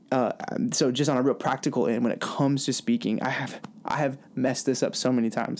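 A man speaks at a fairly quick pace in a normal speaking voice, his pitch medium. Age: 20s. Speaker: youth pastor and podcast co-host. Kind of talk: casual chat.

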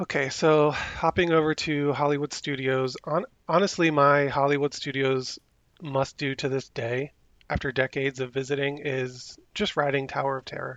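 A man with an ordinary speaking voice, fairly high pitch, a moderate pace, fairly even intonation and an American accent. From New Jersey. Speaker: Disney local.

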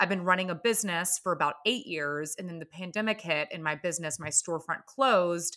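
A woman with an American accent speaks at a fairly quick pace in a fairly low pitch, her tone bright and sharp. Her pitch varies in an ordinary way while her loudness swings widely, and the recording is very clean with a silent background. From US South, Atlanta, Georgia. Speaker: podcast host and former brewery intern. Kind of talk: casual chat.

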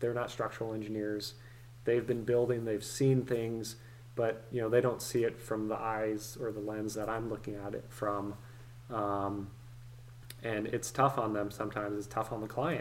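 This man has an American accent and a medium pitch. He speaks at a moderate pace with monotone, flat intonation. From US West Coast (San Francisco Bay Area). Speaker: structural engineer and real estate investor. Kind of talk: casual interview.

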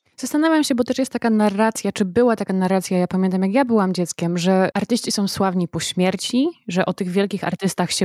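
A normal speaking voice with ordinary pitch variation comes through with a dry, close sound with no echo. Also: woman. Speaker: podcast host. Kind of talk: interview, intro and outro reading.

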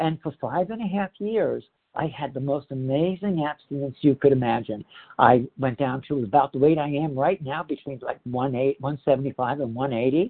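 Using a normal speaking voice, a man with an American accent talks at a moderate pace, at a fairly high pitch with ordinary pitch variation. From Northeast New Jersey, US. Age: 60s. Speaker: speaker sharing recovery story in a support program. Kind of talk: testimony. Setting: phone meeting. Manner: candid, conversational, self-deprecating.

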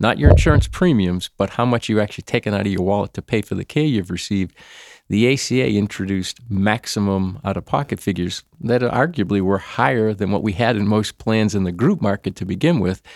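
In a Boston accent, a man with a fairly low pitch talks at a fairly quick pace with hardly any pauses and ordinary pitch variation, in a dry, close, very clean recording with no echo and a silent background. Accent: Boston, northern US. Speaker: employee benefits consultant. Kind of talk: casual interview chat.

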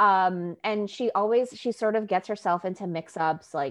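A woman with a New York accent talks against a quiet background. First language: Spanish. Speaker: YA author, co-host. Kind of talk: casual chat.

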